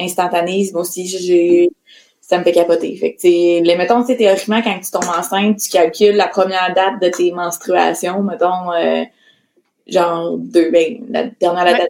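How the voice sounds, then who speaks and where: Speaking in a Quebec accent, a woman with a fairly low pitch talks at a fairly slow pace with fairly even intonation. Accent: Québécois French. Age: 20s. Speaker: entrepreneur. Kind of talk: casual chat.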